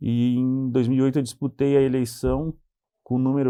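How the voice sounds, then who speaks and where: In a southern Brazilian accent, the speaker uses a dark, mellow tone with monotone, flat intonation at a moderate pace. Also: man. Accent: gaúcho Brazilian Portuguese. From southern Brazil, Pelotas (Rio Grande do Sul). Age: 40s. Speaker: city councillor. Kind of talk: TV interview.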